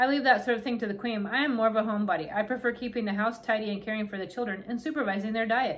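What you hear is an unforced reading voice.

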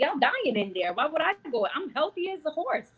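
With an American accent, a woman talks at a very fast pace, her pitch swinging very widely. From New York. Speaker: birth worker; guest. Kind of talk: interview. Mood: animated, confident. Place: home room. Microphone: video call.

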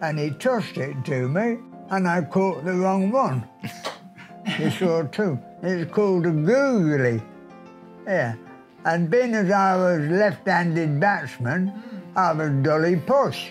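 Delivery comes at a very slow pace with long, frequent pauses. Faint music plays in the background. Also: man, high pitch for a man. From England. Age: 80s+. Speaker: centenarian former pupil. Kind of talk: interview answer. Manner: reminiscing, anecdotal. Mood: amused, storytelling. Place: home room.

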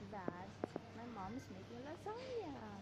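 Loud background noise sits behind a woman's voice. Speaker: vlogger. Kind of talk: casual vlog chat. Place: shop. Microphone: phone near.

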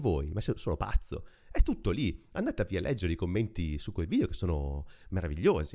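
The talking moves at a fairly quick pace over a quiet background. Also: man. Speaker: tech podcaster; tech news host. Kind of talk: casual monologue. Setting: apartment. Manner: close to mic, low gain. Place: home room. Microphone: very close to mic, low gain; studio mic.

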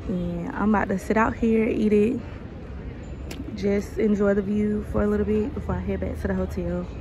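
A woman talks at a moderate pace, her dry sound carrying no echo, with noticeable background noise. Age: 20s. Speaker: travel vlogger. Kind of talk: casual travel vlog narration. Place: street. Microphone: phone near.

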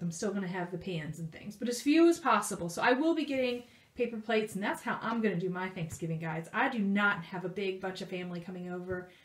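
A woman talks at a very fast pace with audible room echo. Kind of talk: casual vlog chat. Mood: cheerful, pleased about deals. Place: home room. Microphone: phone near.

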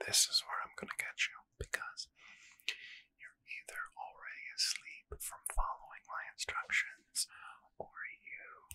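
Soft-spoken, a man whispers. His voice stays low and hushed throughout. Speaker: ASMR creator. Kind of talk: soft-spoken ASMR guided relaxation. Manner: soft close-mic ASMR whisper. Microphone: studio mic.

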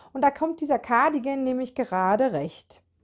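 A woman's high-pitched voice with very wide pitch swings, over a quiet background. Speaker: knitting podcaster. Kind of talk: casual video podcast chat. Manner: chatty with many fillers.

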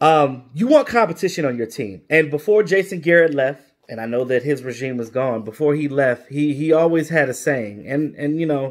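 Over a quiet background, a man talks at a moderate pace with ordinary pitch variation and hardly any pauses. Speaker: sports commentator vlogger. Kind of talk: commentary. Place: home room. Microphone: phone near.

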